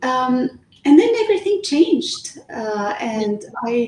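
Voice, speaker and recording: Noticeable background noise surrounds a woman who speaks at a fairly slow pace, her pitch swinging very widely. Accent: Lebanese. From Lebanon. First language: Arabic. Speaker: author. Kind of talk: interview. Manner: hesitant, many fillers.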